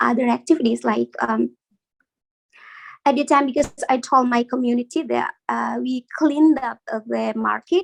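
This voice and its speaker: A woman speaks with an Indonesian accent. The sound is dry and close, with no echo. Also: moderate pace. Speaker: community member. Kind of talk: casual chat. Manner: halting.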